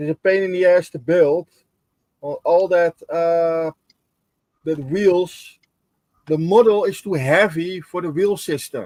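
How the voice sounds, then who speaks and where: A man speaks in a high voice with a non-native accent and fairly even intonation. He leaves long, frequent pauses. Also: fairly slow pace, dry, close sound with no echo. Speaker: scale modeller. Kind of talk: casual chat. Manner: halting.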